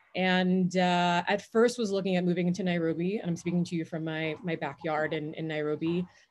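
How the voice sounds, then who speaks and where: Talking at a fairly quick clip with hardly any pauses, a woman speaks in a New York accent over a quiet background. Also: fairly low pitch for a woman, fairly even intonation. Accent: New York American. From New York area (Jamaica-born, moved at five). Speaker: head of growth at a startup. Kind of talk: interview. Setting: outdoors in backyard.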